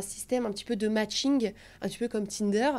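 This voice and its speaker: Delivered at a moderate pace, the speech has an animated tone and ordinary pitch variation. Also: woman, very clean recording, silent background. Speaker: travel content creator. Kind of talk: podcast interview. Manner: animated, hesitant fillers.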